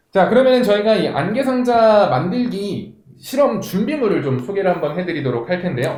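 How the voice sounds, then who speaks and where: A high-pitched man talks at a fairly quick pace with very wide pitch swings, amid audible room echo and noticeable background noise. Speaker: event host. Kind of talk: live online event hosting.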